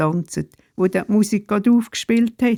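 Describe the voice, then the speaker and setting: An unremarkable speaking voice from a woman, fairly slow in pace with ordinary pitch variation and a dry, close sound with no echo. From Switzerland, canton Glarus (Sernftal). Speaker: retired pastor and storyteller. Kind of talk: reading aloud of memoir stories.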